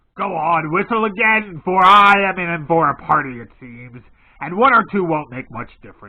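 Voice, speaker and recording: A man puts on a gruff character voice pitched high, delivering it with lively intonation at a moderate pace. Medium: read story. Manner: gruff, blunt.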